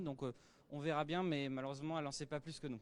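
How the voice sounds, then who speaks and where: A man talks in a fairly high voice. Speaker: interviewer and interpreter. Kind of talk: interview. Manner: hesitant, many filler sounds.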